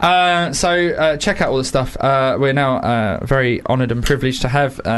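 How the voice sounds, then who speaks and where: Over noticeable background noise, a man with a fairly high pitch speaks at a moderate pace with ordinary pitch variation. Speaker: radio host. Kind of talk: casual radio interview. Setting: studio.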